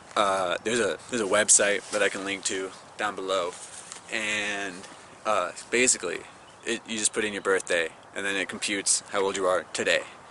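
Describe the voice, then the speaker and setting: A man speaks at a fairly quick pace but leaves long, frequent pauses. Background noise is noticeable. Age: 20s. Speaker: vlogger. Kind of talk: casual vlog commentary. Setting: outdoors in a park. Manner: halting, many false starts.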